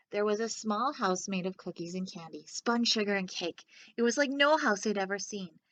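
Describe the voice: The speaker reads aloud plainly with ordinary pitch variation.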